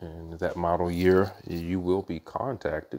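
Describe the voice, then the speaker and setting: A man's very deep, low voice at a fairly slow pace. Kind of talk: casual vlog chat. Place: garage. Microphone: phone near.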